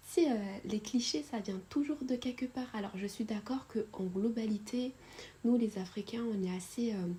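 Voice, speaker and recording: A woman with a fairly high pitch and a dark, mellow tone talks at a fairly slow pace, somewhat breathy, with ordinary pitch variation. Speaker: YouTuber storyteller. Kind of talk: storytime narration of a subscriber's story. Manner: casual, many hesitations and fillers.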